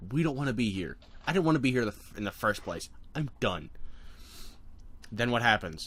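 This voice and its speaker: A man with vocal fry at a fairly quick pace, with very wide pitch swings, big swings in loudness, and long, frequent pauses. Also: medium pitch for a man. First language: not English. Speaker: fan content creator. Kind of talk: casual brainstorming chat. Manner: halting, many restarts.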